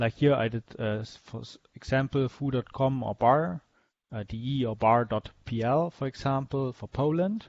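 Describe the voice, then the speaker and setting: In a German accent, a man speaks at a moderate pace and medium pitch with ordinary pitch variation. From Germany. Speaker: web developer teaching a workshop. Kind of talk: lecture. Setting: video call with screen share. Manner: halting, many fillers.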